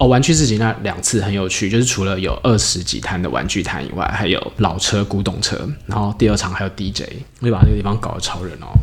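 A man talks very fast with ordinary pitch variation. Audible room echo and noticeable background noise surround him. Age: 40s. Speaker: startup founder. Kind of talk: interview. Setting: drink shop.

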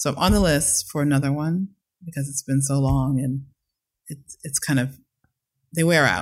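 Her voice very deep and low in pitch and somewhat breathy, a woman speaks at a moderate pace with fairly even intonation and long, frequent pauses. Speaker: choreographer and dance company director. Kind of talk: casual chat. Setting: at home.

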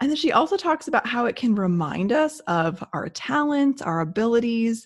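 In a somewhat breathy voice with a warm tone, a woman talks at a moderate pace. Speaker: podcast co-host. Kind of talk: casual podcast chat. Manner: warm, conversational.

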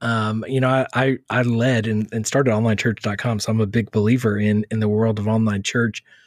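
A plain, everyday voice from a man of medium pitch with an American accent, at a moderate pace, in dry, close sound with no echo. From Texas. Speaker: church social media author. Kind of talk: interview.

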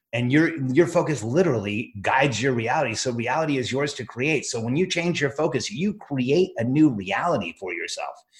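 Somewhat breathy and fairly high-pitched, a man speaks with lively intonation at a moderate pace with hardly any pauses. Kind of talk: pep talk. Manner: fervent, rallying, emphatic; direct, urgent, addressing listeners.

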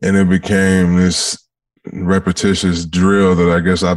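A man's very deep, low voice in a flat monotone at a very slow pace. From Detroit, Michigan. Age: 30s. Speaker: former football player, musician, mental health advocate. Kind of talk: casual interview chat.

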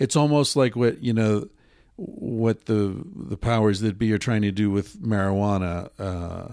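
The speaker has a plain, everyday voice and a fairly slow pace. The recording is very clean, with a silent background. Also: man. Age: 50s. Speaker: author and podcast host. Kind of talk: casual chat. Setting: hotel room.

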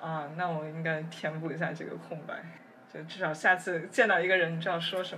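A woman's fairly low, monotone, flat voice at a fairly quick pace, with big swings in loudness, audible room echo and noticeable background noise. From Beijing, China. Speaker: neuroscience PhD student. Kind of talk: casual interview conversation.

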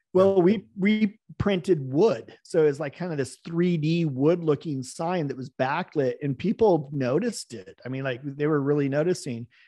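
Against a quiet background, a dark, mellow voice with an American accent moves at a moderate pace with ordinary pitch variation. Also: man. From US West Coast. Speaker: business owner, former pilot and boat captain. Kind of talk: interview. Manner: casual, with fillers.

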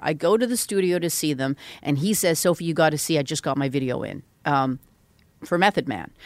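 An unremarkable speaking voice moves at a fairly quick pace with lively intonation over a very clean recording with a silent background. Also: woman. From Vancouver, western Canada. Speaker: music industry executive and author. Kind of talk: interview conversation.

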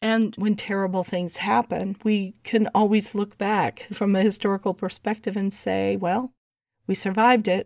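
A woman speaks at a moderate pace in a monotone, flat intonation and medium pitch, recorded dry and close with no echo, very clean, against a silent background. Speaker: astrologer. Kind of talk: casual chat. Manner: laughs often.

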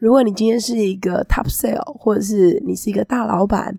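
This woman has a medium-pitched voice with a dark, mellow tone. Her pitch varies in an ordinary way. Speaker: astrology teacher and podcast host. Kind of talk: casual talk-style monologue.

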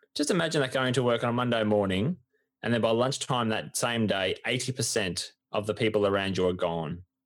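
On a very clean recording with a silent background, a man with an Australian accent talks at a fairly quick pace in a medium pitch, with ordinary pitch variation and very even loudness. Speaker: sports podcast co-host. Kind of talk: casual chat.

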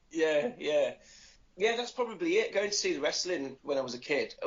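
A man talks with an English Midlands accent. His pitch swings very widely. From English Midlands (Nuneaton, Warwickshire). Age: 40s. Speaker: wrestler and podcaster. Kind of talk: casual interview. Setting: Skype call.

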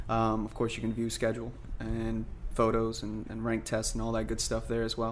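The room echo is audible. A man speaks at a fairly quick pace. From New Orleans. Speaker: MMA fighter. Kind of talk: interview.

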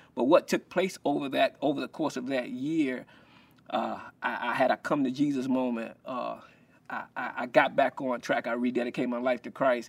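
A man with a Southern US accent and vocal fry, medium pitch, fairly even intonation, and a moderate pace. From South Carolina. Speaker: former football player and minister. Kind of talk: casual interview. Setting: in person at his ministry. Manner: halting, many repetitions.

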